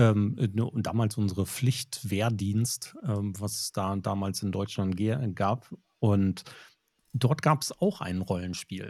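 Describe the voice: A man speaks slowly with a fairly low pitch and ordinary pitch variation. His voice has a slightly husky edge and a slightly mellow tone.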